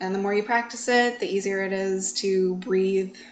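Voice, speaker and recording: A woman with a plain, everyday voice speaks at a medium pitch, her intonation fairly even. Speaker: yoga teacher. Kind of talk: interview conversation. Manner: uses many filler words.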